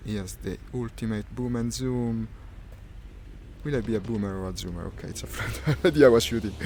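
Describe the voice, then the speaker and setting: A man with an Italian accent speaks at a fairly quick pace in a fairly low voice, with very wide pitch swings and big swings in loudness. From Italy. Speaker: gaming streamer. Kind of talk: live gameplay commentary. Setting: live stream with VR headset. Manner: hesitant, with fillers.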